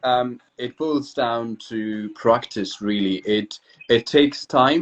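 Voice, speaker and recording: A man in a British accent, speaking at a very slow pace. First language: Kurdish. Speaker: English teacher. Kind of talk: casual chat.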